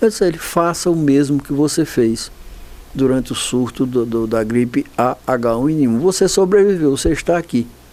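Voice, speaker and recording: Dark, mellow male voice with lively intonation. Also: fairly high pitch for a man, moderate pace. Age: 70s. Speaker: infectious disease doctor. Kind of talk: TV interview. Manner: halting, with repetitions.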